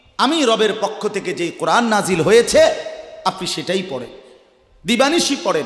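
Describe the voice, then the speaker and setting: Over noticeable background noise, a man with a high pitch talks in a passionate tone with lively intonation. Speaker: Islamic preacher giving a waz. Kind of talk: Islamic sermon (waz) delivered to an audience. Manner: passionate, rhetorical, questioning the audience.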